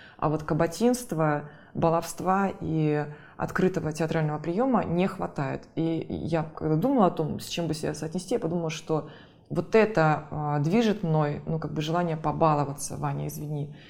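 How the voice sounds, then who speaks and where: Speaking at a moderate pace, a woman uses a very deep, low voice with vocal fry and ordinary pitch variation. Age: 40s. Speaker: theatre critic and curator. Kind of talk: casual interview.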